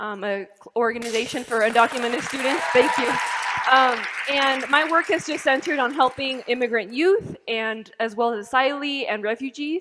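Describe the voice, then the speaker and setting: Over noticeable background noise, a woman with a high pitch talks at a moderate pace, her pitch varying in an ordinary way. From Colorado, US (born in Mexico). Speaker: university student, immigrant advocate, panelist. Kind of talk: panel discussion. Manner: frequent um fillers.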